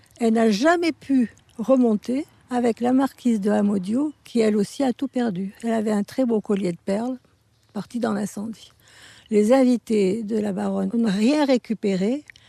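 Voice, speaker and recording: A woman's dark, mellow voice, fairly high in pitch with ordinary variation, moves at a fairly slow pace in a dry, close recording with no echo. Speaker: eyewitness villager. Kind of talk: testimony.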